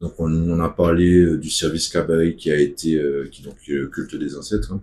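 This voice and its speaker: In a Martinican accent, the voice has a dark, mellow tone and fairly even intonation, with big swings in loudness. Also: man, very deep, low pitch for a man, moderate pace. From Martinique. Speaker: activist spokesperson. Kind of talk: casual video monologue.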